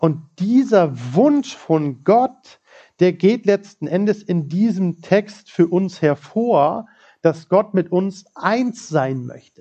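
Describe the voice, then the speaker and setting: Very slowly, a man speaks at a high pitch with lively intonation. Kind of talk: sermon. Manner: warm, conversational and personable, with humor and laughter; animated and earnest, driving points home with repetition.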